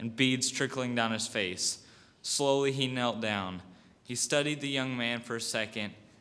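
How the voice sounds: Natural reading voice, its intonation fairly level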